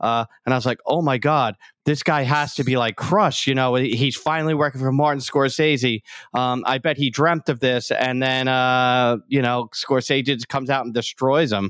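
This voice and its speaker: In a New York accent, a man speaks at a medium pitch and a moderate pace with fairly even intonation, the sound dry and close with no echo. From New York City, Staten Island. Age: 50s. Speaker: stunt coordinator and former police officer. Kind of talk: casual chat.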